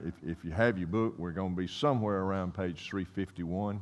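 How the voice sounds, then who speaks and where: This man's pitch is very deep and low. He speaks at a moderate pace. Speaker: Bible class teacher. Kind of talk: sermon. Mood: warm, light humor. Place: church.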